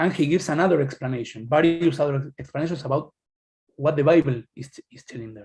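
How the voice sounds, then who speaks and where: A man with a fairly high pitch talks at a very fast pace, his loudness swinging widely and his pitch varying in an ordinary way, with music in the background. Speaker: academic presenter. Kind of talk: lecture. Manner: halting.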